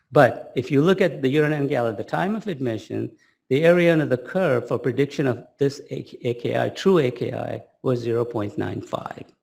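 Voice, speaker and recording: A man with vocal fry speaks at a medium pitch and a moderate pace, using ordinary pitch variation. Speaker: pediatric kidney researcher. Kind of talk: lecture. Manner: animated.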